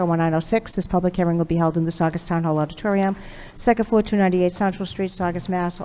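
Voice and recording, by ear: A woman speaks at a fairly low pitch. Her tone is slightly mellow.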